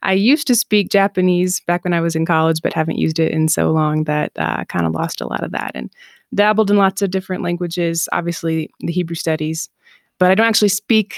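A woman with an Upper Midwest accent talks at a fairly quick pace, her pitch fairly low and her intonation fairly even. The sound is dry and close with no echo, in a very clean recording with a silent background. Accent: Upper Midwest American. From Southeast Michigan. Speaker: online Hebrew teacher. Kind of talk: interview.

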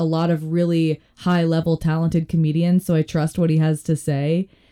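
In an American accent, a woman with a fairly low-pitched voice and a dark, mellow tone speaks at a moderate pace, with a dry, close sound and no echo. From Colorado. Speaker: stand-up comedian. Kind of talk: casual chat.

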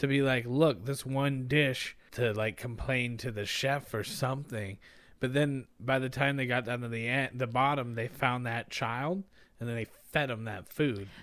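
In a very clean recording with a silent background, a man with an ordinary speaking voice talks at a medium pitch and a moderate pace with fairly even intonation. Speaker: podcaster. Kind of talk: casual chat. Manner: joking, playful.

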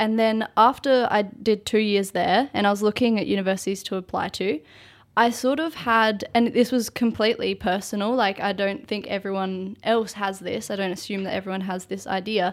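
Heard in a very clean recording with a silent background, the speaker has an Australian accent and fairly even intonation. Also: woman, medium pitch for a woman, moderate pace. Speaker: university student. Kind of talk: casual chat. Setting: studio.

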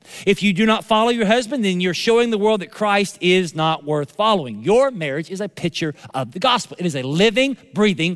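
A man with a Southern US accent speaks in an animated tone, his high-pitched voice rising and falling with lively intonation. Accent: Southern American. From US South. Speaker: pastor. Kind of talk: sermon. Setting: church.

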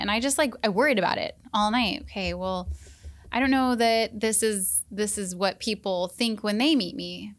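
A woman speaks in a normal speaking voice, captured in a very clean recording with a silent background. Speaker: senior center wellness coordinator. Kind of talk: casual chat. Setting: studio.

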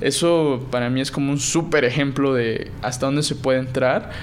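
Amid noticeable background noise and audible room echo, a man talks at a fairly high pitch with fairly even intonation. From Mexico, Puebla. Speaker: blockchain startup founder. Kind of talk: interview.

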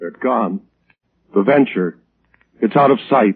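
Putting on a character voice, a man speaks slowly at a fairly low pitch, with a husky, rough edge, vocal fry and lively intonation.

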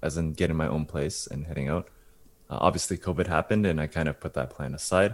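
A man's very deep, low voice with vocal fry, ordinary pitch variation and a very fast pace. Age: 20s. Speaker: podcast co-host. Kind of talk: casual chat.

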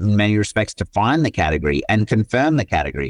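There is an Australian accent in this man's speech. Little sound comes from the background, which is quiet. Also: dry, close sound with no echo. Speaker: tech company CEO and co-founder. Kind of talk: interview conversation.

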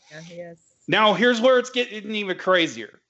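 A man is doing the talking. His speech is in a Southern US accent. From US South. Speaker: religious teacher. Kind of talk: teaching presentation.

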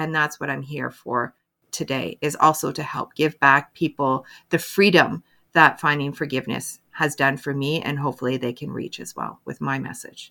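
In a Canadian accent, a woman with a very deep, low voice talks at a moderate pace, her tone bright and sharp, with vocal fry, ordinary pitch variation and big swings in loudness, on a very clean recording with a silent background. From Canada. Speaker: mental health advocate and motivational speaker. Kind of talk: interview.

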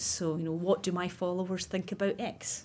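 In a Scottish accent, a woman speaks at medium pitch and sounds somewhat breathy on a very clean recording with a silent background. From Scotland, west coast near Loch Lomond. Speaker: recruitment account director. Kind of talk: interview. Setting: studio.

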